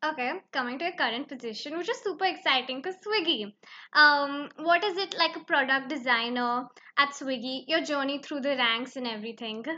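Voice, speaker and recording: A woman's high, bright and sharp voice, raised and projected, with lively intonation at a fairly quick pace over a quiet background. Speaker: student podcast host. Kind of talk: interview.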